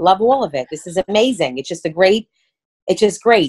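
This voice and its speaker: A woman talks at a fairly quick pace in a Brooklyn accent. The background is quiet. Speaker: court stenographer and comedian. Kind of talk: podcast interview answer. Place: home room. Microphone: video call.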